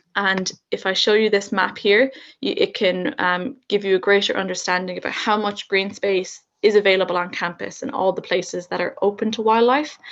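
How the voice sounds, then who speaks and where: With an Irish accent, a woman speaks at a fairly quick pace. Her pitch sits in the medium range and her intonation stays fairly even. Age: 20s. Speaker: university student. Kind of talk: student presentation.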